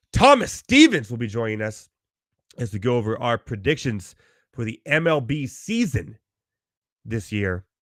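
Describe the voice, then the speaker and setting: A man's put-on character voice, hoarse, raspy and croaky, at medium pitch and a moderate pace with long, frequent pauses, on a very clean recording with a silent background. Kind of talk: podcast host, intro.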